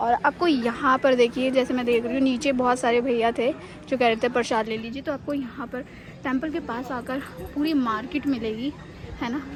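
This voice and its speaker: Through noticeable background noise, a woman with a high pitch talks at a moderate pace with fairly even intonation. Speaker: travel vlogger. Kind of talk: travel vlog narration. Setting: outdoors at hilltop temple. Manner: conversational, addressing viewers.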